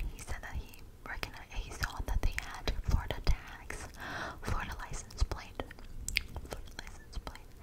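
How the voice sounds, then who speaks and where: A woman whispers at a moderate pace. Noticeable background noise runs beneath her. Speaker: ASMR creator. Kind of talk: casual storytelling to camera. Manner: whispered.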